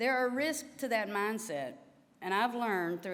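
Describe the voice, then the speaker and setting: A woman with a Southern US accent and lively intonation, plus audible room echo. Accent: Southern drawl. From US South, Louisiana. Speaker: physical therapy association president, professor. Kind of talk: formal address to delegates. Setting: stage with audience.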